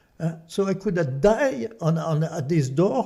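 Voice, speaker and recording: A man's fairly high voice in a French accent, dark and mellow in tone, with very wide pitch swings. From France. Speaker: artist and activist. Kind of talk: casual chat. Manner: animated.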